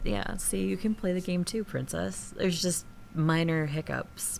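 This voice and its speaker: A woman's very deep, low voice in a northern accent. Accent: northern accent, slips out on certain words. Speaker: gaming streamer. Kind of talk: casual live-stream chat while gaming. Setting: home streaming studio. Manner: casual, chatty, many fillers.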